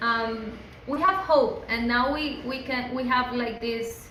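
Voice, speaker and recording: With a Spanish accent, a woman speaks at a very slow pace in a high voice with ordinary pitch variation. The room echo is audible and the background noise is noticeable. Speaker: human rights activist. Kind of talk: interview. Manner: halting.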